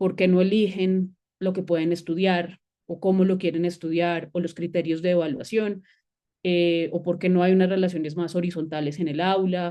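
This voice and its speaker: With a dark, mellow tone and fairly low pitch, a woman speaks at a moderate pace in a monotone, flat intonation. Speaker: university lecturer and researcher. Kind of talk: academic seminar presentation. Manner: hesitant, many fillers.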